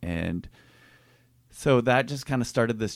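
With vocal fry and lively intonation, a man speaks at a fairly slow pace in a dry, close sound with no echo. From Minnesota, suburb of Minneapolis. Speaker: pastor. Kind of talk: casual interview.

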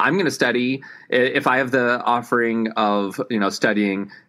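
A man's bright, sharp voice sits at a medium pitch with ordinary pitch variation. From Tennessee. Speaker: actor and acting coach. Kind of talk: casual interview chat. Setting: remote call.

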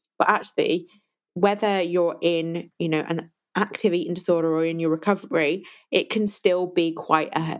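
A woman with an ordinary speaking voice, fairly low in pitch, speaks at a moderate pace with fairly even intonation. The recording is very clean, with a silent background. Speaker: podcast host and eating disorder recovery coach. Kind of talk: solo podcast monologue. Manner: warm, conversational, grateful.

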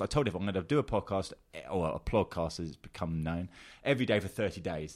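In a very clean recording with a silent background, a man speaks in an animated tone with very wide pitch swings. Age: 40s. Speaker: agency founder and podcaster. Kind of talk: casual chat. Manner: halting.

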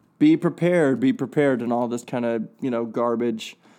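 With a quiet background, the speech moves at a moderate pace with ordinary pitch variation. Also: man. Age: 30s. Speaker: podcast host. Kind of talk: solo podcast monologue. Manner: halting, many filler words and restarts.

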